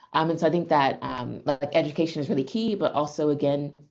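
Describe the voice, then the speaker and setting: A woman with an American accent speaks at a fairly quick pace in a very deep, low voice, her intonation fairly even. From USA. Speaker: AI researcher. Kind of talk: seminar talk Q&A. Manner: hesitant, many fillers.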